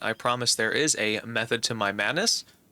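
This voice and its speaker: A man with a bright, sharp tone speaks with ordinary pitch variation on a very clean recording with a silent background. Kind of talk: gameplay tutorial commentary.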